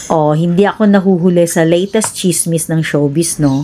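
Noticeable background noise behind a female speaker. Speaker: cooking vlogger. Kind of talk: casual vlog chat.

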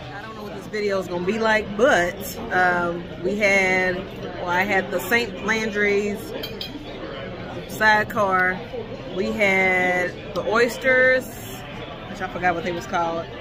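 There is noticeable background noise as a woman speaks at a fairly slow pace, leaving long, frequent pauses. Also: ordinary pitch variation. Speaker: food vlogger. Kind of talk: casual vlog chat. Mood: relaxed, pleased. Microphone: phone near.

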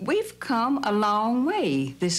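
A woman at a very slow pace with very wide pitch swings. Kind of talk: interview answer. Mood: earnest, hopeful. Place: home room.

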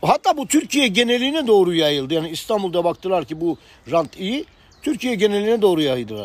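His pitch is high for a man, with very wide pitch swings. He talks at a fairly quick pace. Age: 50s. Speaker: online commentator. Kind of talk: casual chat.

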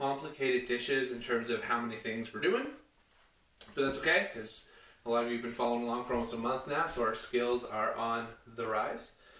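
Against audible room echo, a man talks at a very fast pace. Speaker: home cooking show host. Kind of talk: tutorial. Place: kitchen. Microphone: camera far.

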